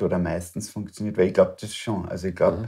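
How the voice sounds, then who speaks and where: Against a quiet background, a man with an Austrian accent speaks in a fairly low pitch with a dark, mellow tone. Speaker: interview host. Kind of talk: interview. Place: home room.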